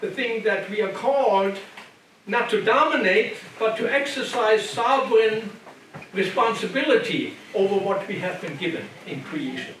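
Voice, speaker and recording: A high-pitched man with a German accent talks at a moderate pace with lively intonation, amid noticeable background noise and audible room echo. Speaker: retired biblical scholar and lecturer. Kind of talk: lecture. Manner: halting with repetitions.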